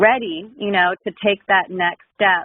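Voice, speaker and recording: Speaking with an American accent, a woman has a medium-pitched voice. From Southern California. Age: 20s. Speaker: client in matchmaking assessment. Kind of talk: interview.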